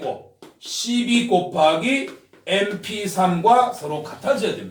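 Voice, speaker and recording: A loud man with a high pitch talks at a very slow pace, and the room echo is audible. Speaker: math tutor. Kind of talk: lecture.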